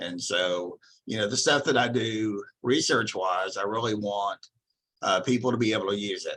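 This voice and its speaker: Speaking with a Texan accent, a man with a fairly low pitch and a bright, sharp tone talks at a moderate pace with fairly even intonation. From Texas. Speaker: psychology professor. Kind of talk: lecture. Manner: casual with frequent fillers.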